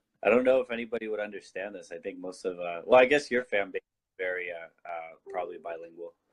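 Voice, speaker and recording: Speaking very fast with a Californian accent, this voice barely pauses and swings widely in loudness. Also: man, fairly low pitch for a man, ordinary pitch variation. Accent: Californian American English. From southern California, Mission Viejo. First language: Spanish. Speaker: political activist. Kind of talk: casual chat.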